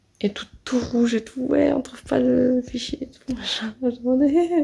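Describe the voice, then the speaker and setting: Noticeable background noise is present. A woman speaks at a high pitch with fairly even intonation. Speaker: vlogger, audiovisual student. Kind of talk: casual vlog. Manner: quiet.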